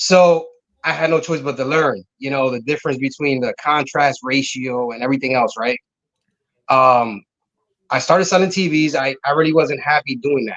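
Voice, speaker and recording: In an American accent, a man with a fairly high pitch and an ordinary speaking voice talks at a moderate pace with ordinary pitch variation. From Connecticut. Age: 30s. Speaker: car audio business owner. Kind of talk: casual interview chat.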